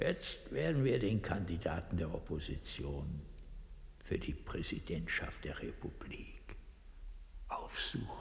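In a put-on character voice, the speaker swings widely in pitch, with vocal fry and a fairly slow pace. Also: man, low pitch for a man.

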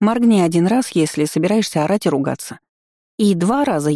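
In a natural voice, a person reads aloud with a quiet background.

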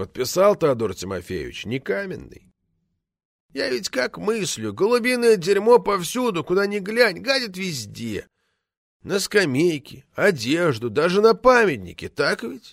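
A man's put-on character voice, high for a man, with vocal fry, big pitch swings and a fairly slow pace, on a very clean recording with a silent background.

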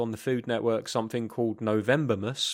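Recorded very cleanly against a silent background, a man speaks in a British accent. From United Kingdom. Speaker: podcast co-host. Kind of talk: casual chat.

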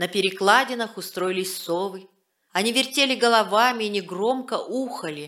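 Ordinary pitch variation shapes this plain reading aloud. Nothing but quiet fills the background.

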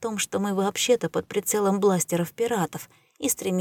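It is an unforced reading voice with ordinary pitch variation.

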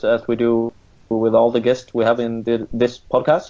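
With a Swedish accent, a man speaks at a medium pitch. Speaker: podcast co-host, football coach. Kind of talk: casual chat.

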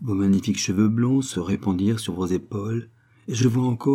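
The natural-voiced reading aloud has pitch that varies in an ordinary way.

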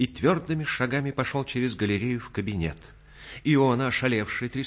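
With ordinary pitch variation, the delivery is plain reading aloud.

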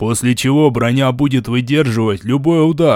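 An unforced reading voice, pitch varying in an ordinary way

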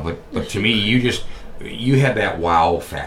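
Against noticeable background noise, a man with an American accent speaks with lively intonation. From New York. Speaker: podcast host. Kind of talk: interview, casual chat. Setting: studio.

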